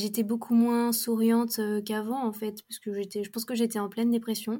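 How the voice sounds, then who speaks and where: In a very clean recording with a silent background, a woman speaks at a moderate pace with a dark, mellow tone and a fairly high pitch. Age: 20s. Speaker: student, abuse survivor sharing her story. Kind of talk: testimony.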